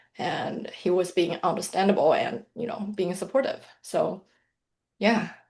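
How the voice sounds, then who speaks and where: In a Mandarin accent, a woman speaks fairly slowly at a medium pitch, somewhat breathy, with ordinary pitch variation. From mainland China. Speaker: financial planner and author. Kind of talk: interview.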